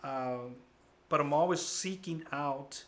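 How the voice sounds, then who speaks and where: A man speaks with ordinary pitch variation and a bright, sharp tone. Room echo is audible. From US, child immigrant from Guatemala. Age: 40s. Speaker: college counselor. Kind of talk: interview. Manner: casual, animated.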